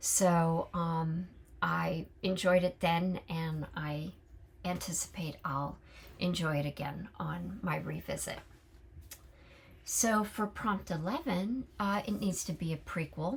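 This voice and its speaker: Speaking at a very slow pace with an American accent, a woman uses a fairly low, somewhat breathy voice with ordinary pitch variation. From California. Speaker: book vlogger. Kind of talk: casual monologue. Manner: halting, many fillers.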